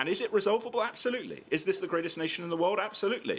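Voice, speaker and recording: A man with a British accent, talking at a very fast pace. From grew up abroad, American. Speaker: political writer. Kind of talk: public debate. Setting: stage with audience.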